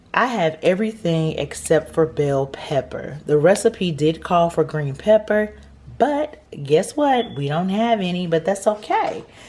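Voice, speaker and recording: With noticeable background noise, a woman speaks at a fairly slow pace in a fairly low pitch, making very wide pitch swings. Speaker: cooking channel host. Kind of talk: cooking tutorial. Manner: casual.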